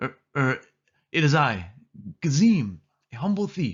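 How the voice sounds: Putting on a squeaky character voice, a man speaks at a fairly slow pace. His fairly high pitch swings very widely.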